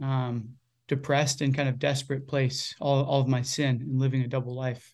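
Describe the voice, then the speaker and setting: The speaker has a Virginia accent and fairly even intonation at a moderate pace. The recording is very clean, with a silent background. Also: man. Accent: American, Virginia. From Virginia, US. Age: 20s. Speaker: campus minister and church leader. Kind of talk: interview conversation.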